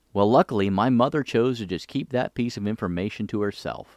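A man with an American accent speaks at a fairly quick pace in a fairly low voice, an unremarkable speaking voice. The sound is dry and close with no echo, in a very clean recording with a silent background. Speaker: podcast host, retired army officer. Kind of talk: scripted narration.

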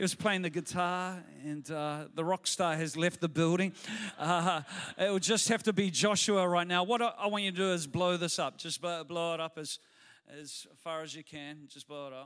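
A man's high voice in a New Zealand accent, fairly even in intonation, with big swings in loudness. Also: moderate pace. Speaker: pastor. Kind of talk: sermon. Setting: church.

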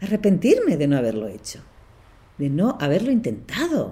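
A woman at a medium pitch speaks at a moderate pace with very wide pitch swings, a dark, mellow tone and vocal fry. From Barcelona, Spain. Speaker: podcast host and leadership coach. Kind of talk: solo podcast monologue.

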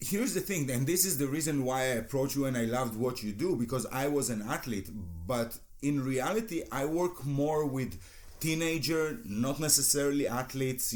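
Moderately paced speech in an Israeli accent keeps its loudness very even, with ordinary pitch variation. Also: man. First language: Hebrew. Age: 40s. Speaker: hypnotherapist and former judo athlete. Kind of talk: interview.

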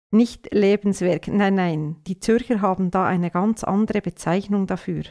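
A woman talks at a fairly slow pace. Her pitch is medium and her intonation fairly even. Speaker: radio commentator. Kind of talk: satirical opinion commentary.

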